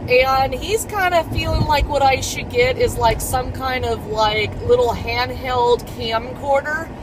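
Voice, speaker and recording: A woman's fairly slow speech with hardly any pauses, set against noticeable background noise. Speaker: vlogger. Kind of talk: vlog. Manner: rambling, filler-heavy.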